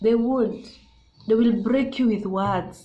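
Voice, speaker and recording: Audible room echo surrounds a woman's dark, mellow tone. She speaks at a fairly slow pace with fairly even intonation. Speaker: YouTuber. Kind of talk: casual vlog monologue. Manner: loud.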